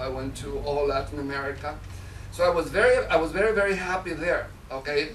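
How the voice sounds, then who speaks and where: With a Mexican accent, a man speaks at a moderate pace amid noticeable background noise and audible room echo. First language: Spanish. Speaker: public speaker. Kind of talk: speech. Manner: halting, many fillers.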